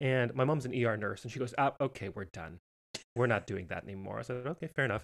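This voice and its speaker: With vocal fry and a medium pitch, a man talks at a very fast pace with ordinary pitch variation, in a dry, close sound with no echo. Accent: American. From Montana, US. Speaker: professional entertainer and podcast host. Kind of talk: interview, casual chat.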